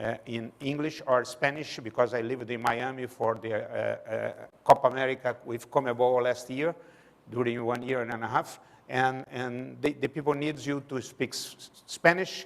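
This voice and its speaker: A man with a Brazilian Portuguese accent talks at a moderate pace in a medium-pitched voice. His intonation stays fairly even while his loudness swings widely. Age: 60s. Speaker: sports management lecturer. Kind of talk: public lecture. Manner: halting.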